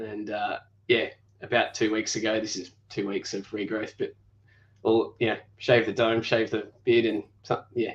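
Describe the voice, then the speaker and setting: Speaking at a moderate pace and medium pitch, a man with an Australian accent keeps a monotone, flat intonation. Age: 30s. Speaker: YouTuber and engineer. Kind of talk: casual interview.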